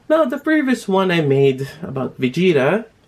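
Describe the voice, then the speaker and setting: Here a man is speaking. He talks with a Filipino accent. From Philippines. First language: Tagalog. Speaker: toy reviewer. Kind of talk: casual vlog talk. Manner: halting, many fillers.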